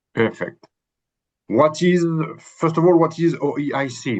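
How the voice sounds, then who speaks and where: A man speaks with a non-native accent at a moderate pace. His pitch varies in an ordinary way against a quiet background. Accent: non-native English speaker. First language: French. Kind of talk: webinar presentation. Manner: halting.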